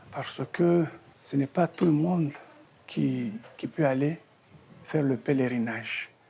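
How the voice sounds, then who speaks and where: Against noticeable background noise, a man with a fairly high pitch talks at a very slow pace with ordinary pitch variation and long, frequent pauses. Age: 60s. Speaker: retired teacher. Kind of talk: testimony.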